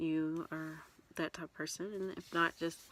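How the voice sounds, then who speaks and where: Soft-spoken and very deep, low in pitch, a woman talks in a dry, close sound with no echo. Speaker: vlogger. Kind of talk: casual chat. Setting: in a closet. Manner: halting. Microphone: too quiet.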